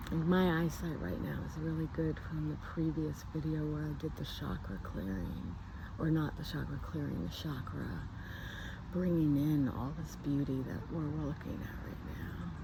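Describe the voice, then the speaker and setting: A soft-spoken woman talks at a moderate pace, with audible room echo around her voice. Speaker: spiritual healer vlogger. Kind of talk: casual nature vlog narration. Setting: outdoors. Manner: calm, relaxed.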